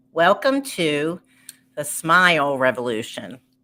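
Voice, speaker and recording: A woman speaks with a Baltimore accent at a very slow pace. Her pitch swings very widely. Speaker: entertainer and live show host. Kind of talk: live stream show intro. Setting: live stream.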